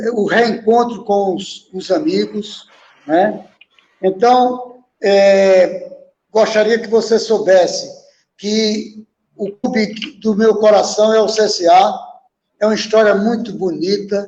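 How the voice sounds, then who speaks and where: The delivery is very slow. Long pauses come often. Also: man, high pitch for a man, fairly even intonation. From Brazil, Alagoas (Palmeira dos Índios, Maceió). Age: 80s+. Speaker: former footballer and coach. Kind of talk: interview.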